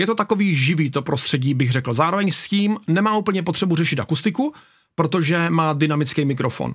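The background stays quiet. A man talks at a moderate pace, his intonation lively. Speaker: YouTuber reacting to videos. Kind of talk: casual reaction video commentary. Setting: home studio. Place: home room. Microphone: studio mic.

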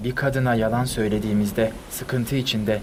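The man speaks at a moderate pace in a monotone, flat intonation. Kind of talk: literary audiobook reading of diary prose.

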